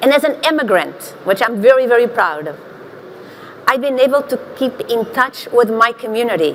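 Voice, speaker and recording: A woman with a Portuguese accent, fairly high in pitch, with ordinary pitch variation, a moderate pace, and noticeable background noise. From Portugal, small village. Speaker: marketing executive, panelist. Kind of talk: panel discussion.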